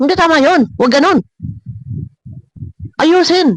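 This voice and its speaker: Close and dry with no trace of echo, the recording captures a man whose intonation is lively. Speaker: vlogger reacting to videos. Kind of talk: reaction vlog commentary. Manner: forceful, emphatic.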